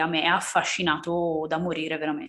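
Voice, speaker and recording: This woman has a normal speaking voice, fairly low in pitch, and talks at a fairly slow pace. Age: 30s. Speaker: book podcast co-host. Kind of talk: casual chat.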